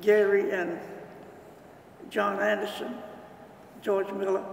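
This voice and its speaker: Amid audible room echo and noticeable background noise, a man speaks at a fairly slow pace. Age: 80s+. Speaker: retired civil engineer, church founding member. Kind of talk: oral history interview. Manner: halting.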